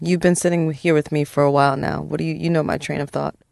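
A woman with a very deep, low pitch speaks at a very fast pace. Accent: American. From Brooklyn, New York (Park Slope). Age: 40s. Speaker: psychologist. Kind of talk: therapy-style interview. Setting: studio.

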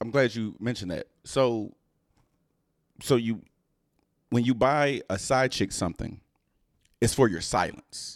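Recorded very cleanly with a silent background, a man of medium pitch speaks with ordinary pitch variation and long, frequent pauses. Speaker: podcast host. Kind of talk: casual chat.

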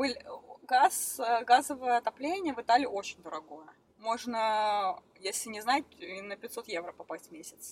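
Her fairly high voice moves at a fairly slow pace, with very wide pitch swings and big swings in loudness. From Russia, Krasnoyarsk. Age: 20s. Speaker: professional snowboarder. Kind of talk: interview.

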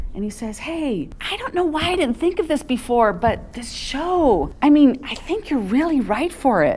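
A high-pitched woman at a moderate pace, with hardly any pauses, very wide pitch swings and noticeable background noise. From Southern California. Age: 50s. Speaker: Broadway ensemble performer. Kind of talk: casual interview.

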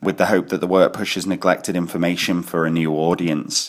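Here a man speaks with a Glaswegian accent and a very deep, low pitch. His pitch variation is ordinary. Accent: Glaswegian Scottish. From Scotland, Glasgow. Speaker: graphic designer and bookshop co-director. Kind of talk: recorded monologue interview answers. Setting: at home in his kitchen. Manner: halting, many fillers and repetitions.

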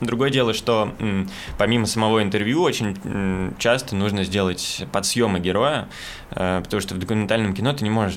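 With noticeable background noise behind him, a man with a fairly low voice speaks at a moderate pace and ordinary pitch variation. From Moscow, Russia. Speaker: documentary cameraman and journalist. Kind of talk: casual chat.

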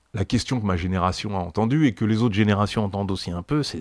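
On a very clean recording with a silent background, a man speaks fairly quickly in a fairly low pitch with ordinary pitch variation. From France. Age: 60s. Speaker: activist, former heroin user. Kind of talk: testimony. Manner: halting, many repetitions and fillers.

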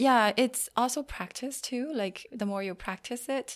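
Recorded very cleanly with a silent background, a woman speaks with a Chinese accent at a fairly slow pace. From China. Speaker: career coach. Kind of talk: interview. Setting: on location in a university career center. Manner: frequent fillers and hesitations.

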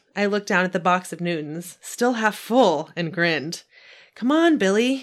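Lively intonation runs through the clip. It is a natural reading voice.

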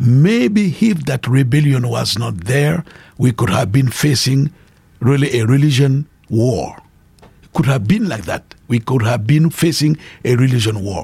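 Somewhat breathy, a man with a West African French accent speaks at a fairly slow pace with lively intonation. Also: medium pitch for a man. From Burkina Faso. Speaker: pastor and evangelist. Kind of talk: interview testimony.

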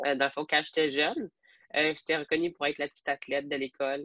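Her intonation stays monotone and flat. This woman's pitch is very deep and low. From Alberta, francophone community, then Quebec from age 12. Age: 20s. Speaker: police trainee and fitness athlete. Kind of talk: podcast interview.

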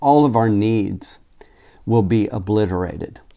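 A man's dark, mellow voice at medium pitch with an American accent, ordinary pitch variation and a very slow pace, on a very clean recording with a silent background. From Oklahoma, Tulsa. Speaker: pastor. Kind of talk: sermon.

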